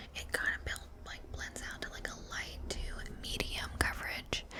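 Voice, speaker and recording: Someone whispers at a moderate pace. Noticeable background noise runs beneath the voice. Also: woman. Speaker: ASMR creator. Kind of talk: casual talk to camera, beauty product review. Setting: home recording with a microphone. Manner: soft-spoken, chatty.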